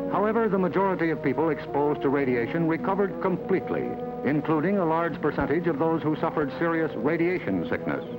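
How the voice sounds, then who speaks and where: A man talks at a very fast pace with lively intonation and a fairly high pitch. His loudness stays very even, with music playing in the background. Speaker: broadcast journalist. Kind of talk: government documentary narration. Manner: measured.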